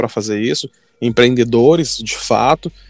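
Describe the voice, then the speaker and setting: Man at a medium pitch and moderate pace, on a very clean recording with a silent background and a dry, close sound with no echo. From Brazil, Manaus (Amazonas). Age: 20s. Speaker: startup entrepreneur. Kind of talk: podcast interview. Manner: halting, many fillers and repetitions.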